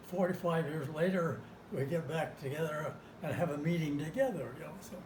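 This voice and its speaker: Over noticeable background noise and audible room echo, a man with a fairly high pitch and ordinary pitch variation talks at a fairly quick pace. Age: 90s. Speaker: war veteran. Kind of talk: oral history interview.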